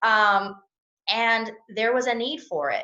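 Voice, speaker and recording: A woman with a Southern US accent speaks high in pitch with a bright, sharp tone. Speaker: personal injury attorney. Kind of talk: interview answer.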